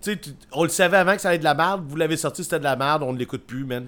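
Animated in tone, a man with a Quebec accent speaks at a very fast pace. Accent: Québécois French. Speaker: podcast co-host, punk music reviewer. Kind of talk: casual chat. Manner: animated, laughing.

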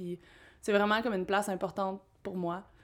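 A woman is speaking. Her pace is very fast. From Quebec, Abitibi-Témiscamingue. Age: 20s. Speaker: tree planter. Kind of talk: casual interview.

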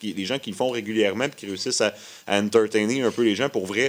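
This man speaks with a Quebec accent at a medium pitch. His intonation is fairly even and his pace fairly quick. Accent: Québécois French. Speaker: musician. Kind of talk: casual radio interview. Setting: radio studio.

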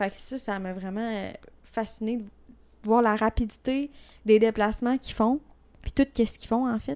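A woman with a Quebec accent and fairly high pitch, moderate pace, fairly even intonation, long and frequent pauses, big swings in loudness, and a dry, close sound with no echo. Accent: Québécois French. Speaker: podcast co-host. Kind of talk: casual chat.

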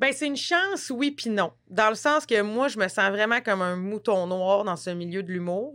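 Lively intonation from a woman at medium pitch, at a fairly quick pace. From rural Quebec. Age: 30s. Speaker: actress. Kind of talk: casual chat. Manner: animated.

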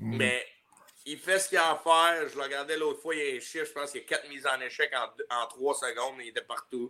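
Very fast delivery keeps its intonation fairly even. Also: man, fairly high pitch for a man. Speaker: hockey player. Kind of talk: casual chat.

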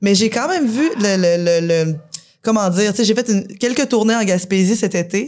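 At a moderate pace, a woman with a plain, everyday voice keeps her loudness very even and her pitch variation ordinary. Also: medium pitch for a woman. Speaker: punk rock musician. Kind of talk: casual chat. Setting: bar with live audience.

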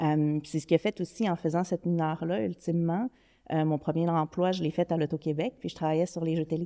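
A woman's fairly low, dark, mellow voice at a fairly quick pace with fairly even intonation, dry and close with no echo, on a very clean recording with a silent background. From Quebec City, Quebec. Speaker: digital strategy executive. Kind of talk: podcast interview.

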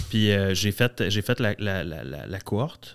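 A man with a fairly low voice speaks in a Quebec accent. The recording is very clean, with a silent background. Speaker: entrepreneur. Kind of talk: casual chat.

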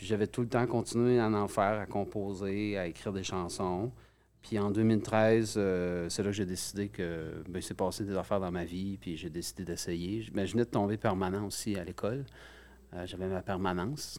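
A normal speaking voice moves at a moderate pace. No background sound intrudes on this very clean recording. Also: man, fairly low pitch for a man. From Gaspésie, Quebec. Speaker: musician. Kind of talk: interview. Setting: studio.

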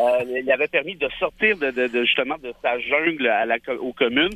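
His delivery moves at a moderate tempo. The man uses lively intonation. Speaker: lawyer, columnist and essayist. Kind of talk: political panel discussion. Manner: loud.

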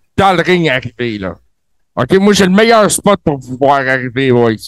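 A man's voice with very wide pitch swings. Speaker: co-host. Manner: animated, playful ring announcer style.

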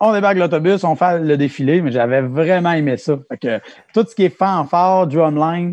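Over a quiet background, a man with an ordinary speaking voice talks at a moderate pace with lively intonation. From Quebec, Mauricie/Centre-du-Québec. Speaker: music teacher. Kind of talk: casual interview.

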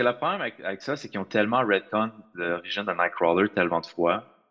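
The man's voice has a bright, sharp tone. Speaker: podcast co-host. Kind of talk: casual chat.

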